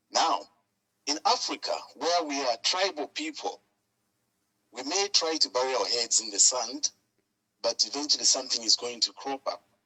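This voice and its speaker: Pitch swings very widely as a man talks at a moderate pace. He takes long, frequent pauses. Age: 60s. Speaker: caller. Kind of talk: phone-in call to talk show.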